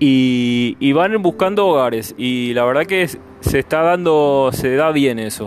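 A man's fairly high, lively voice at a fairly slow pace over noticeable background noise. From Argentina. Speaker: podcast host. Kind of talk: interview. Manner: halting, many fillers.

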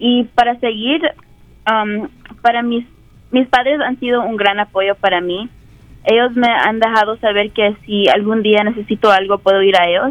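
A woman talks at a fairly slow pace in a plain, everyday voice, her pitch fairly high and her intonation fairly even. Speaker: university student. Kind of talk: personal testimony. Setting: classroom.

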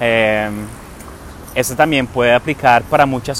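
Noticeable background noise accompanies a man speaking at a moderate speed. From England. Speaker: podcast host and entrepreneur. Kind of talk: casual monologue. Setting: outdoors. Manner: hesitant, with many fillers.

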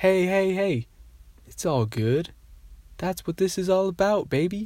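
Recorded very cleanly against a silent background, a man talks at a fairly slow pace. His pitch is high and his intonation lively. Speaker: solo podcaster. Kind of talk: personal monologue. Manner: hesitant, many fillers.

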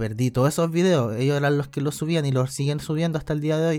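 A man speaks with a Chilean accent and fairly even intonation. The recording is very clean, with a silent background. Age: 20s. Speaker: video game streamer. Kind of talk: casual interview. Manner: halting, many repetitions.

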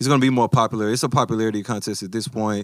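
A man speaks in a flat, monotone way. The recording is very clean, with a silent background. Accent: Memphis. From US South, Memphis. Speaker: basketball podcast co-host. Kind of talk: casual chat.

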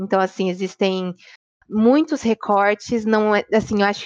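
A woman's medium-pitched voice at a very slow pace, dry and close with no echo. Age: 20s. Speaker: obstetrics student. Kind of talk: casual discussion.

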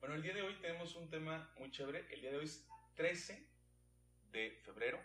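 A man speaks in a Jalisco accent at a fairly high pitch, his tone bright and sharp. The pace is moderate, pitch variation is ordinary, and room echo is audible. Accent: Jalisco Mexican. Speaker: sex education podcast host, physician. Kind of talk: casual panel chat.

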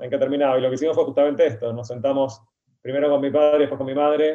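The speech comes at a very fast pace with monotone, flat intonation. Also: man. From Argentina. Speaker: writer. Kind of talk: interview.

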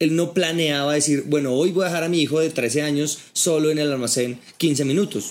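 At a moderate pace, a man speaks with a fairly high pitch. His pitch variation is ordinary. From Colombia, Bogotá. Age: 30s. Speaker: sales training entrepreneur. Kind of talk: casual interview over drinks.

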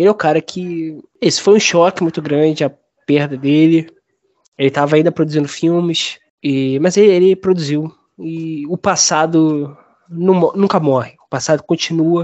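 Pitched fairly high with fairly even intonation, a man talks in an unremarkable speaking voice. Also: moderate pace. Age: 20s. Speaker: film critic. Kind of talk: casual chat.

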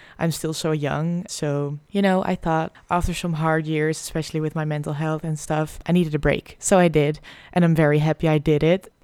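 On a very clean recording with a silent background, a woman with a Dutch accent speaks at a moderate pace in a very deep, low pitch and a dark, mellow tone, monotone and flat, with hardly any pauses. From Netherlands. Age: 20s. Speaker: podcaster, medical student. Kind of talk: casual monologue.

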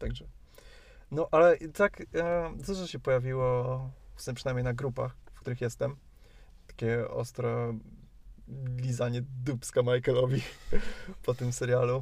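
A man speaks somewhat breathily at a medium pitch and a fairly slow pace, with fairly even intonation, long, frequent pauses and big swings in loudness. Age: 20s. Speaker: university student, podcast co-host. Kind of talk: casual chat. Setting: in a car.

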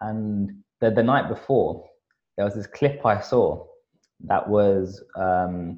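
A man talks at a very slow pace. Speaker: podcast co-host. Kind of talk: casual podcast chat. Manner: casual, upbeat.

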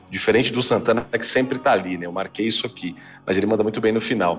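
A man speaks at a fairly low pitch with ordinary pitch variation while music plays in the background. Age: 40s. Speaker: music podcast co-host. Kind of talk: casual chat.

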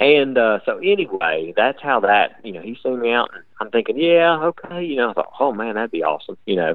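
A man with an American accent talks at a moderate pace. His pitch swings very widely. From West Virginia (Wayne). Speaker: race car driver and driver coach. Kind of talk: interview.

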